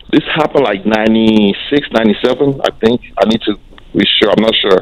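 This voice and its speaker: Over noticeable background noise, a man with a medium pitch talks at a fairly quick pace, with ordinary pitch variation and very even loudness. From mostly US, raised abroad partly. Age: 40s. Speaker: caller. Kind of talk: phone call-in question. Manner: halting.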